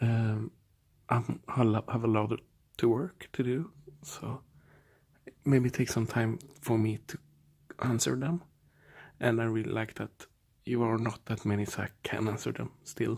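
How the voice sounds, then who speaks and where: Speaking in a Swedish accent, a man at medium pitch goes at a fairly slow pace, somewhat breathy, with fairly even intonation and long, frequent pauses. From Sweden. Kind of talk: ASMR storytelling. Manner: soft-spoken.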